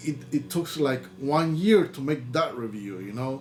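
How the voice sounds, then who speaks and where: Faint music plays in the background as a man with a Spanish accent speaks at a moderate pace. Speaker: YouTuber and record label owner; YouTuber. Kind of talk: casual vlog talk to camera. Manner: halting, with many repetitions and fillers. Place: home room. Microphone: webcam.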